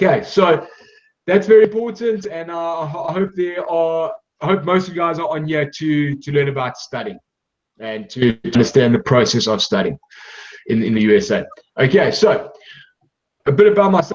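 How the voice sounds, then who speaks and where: Pitch swings very wide at a moderate pace. Long, frequent pauses break up the speech. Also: man, high pitch for a man. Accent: South African. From South Africa. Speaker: sports scholarship agency director. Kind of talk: presentation.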